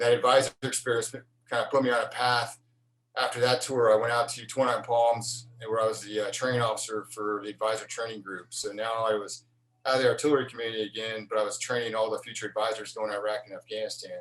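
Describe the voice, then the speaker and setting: Speaking very fast, a man of medium pitch keeps a monotone, flat intonation. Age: 40s. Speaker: Marine Corps officer. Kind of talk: interview. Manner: casual, with frequent fillers.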